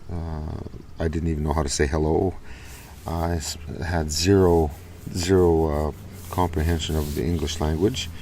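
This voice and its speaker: A man's very deep, low voice at a moderate pace, monotone and flat, with long, frequent pauses and audible room echo. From Saskatchewan, Canada (First Nation). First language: Ojibwe (Saulteaux) and Cree. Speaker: vlogger. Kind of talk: casual vlog monologue. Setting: outdoors in a small park. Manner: halting, many fillers.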